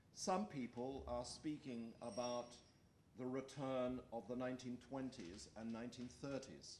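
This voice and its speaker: Ordinary pitch variation amid audible room echo and light background noise. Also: man. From Australia. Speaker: political science professor. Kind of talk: lecture. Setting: stage with audience. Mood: serious, measured. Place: meeting room. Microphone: podium.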